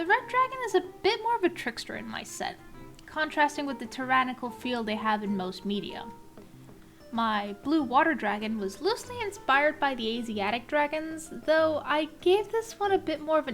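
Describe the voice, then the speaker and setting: Music plays behind the woman. Her pitch swings very widely. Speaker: illustrator. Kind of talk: art process voice-over narration.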